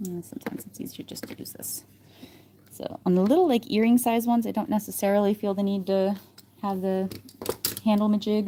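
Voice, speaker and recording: A woman mumbles in a relaxed tone at a medium pitch and a fairly quick pace, with fairly even intonation and big swings in loudness. Long, frequent pauses break up her speech, and noticeable background noise is present. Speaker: polymer clay artist livestreamer. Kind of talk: live crafting tutorial. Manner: thinking out loud, mumbling; casual, relaxed.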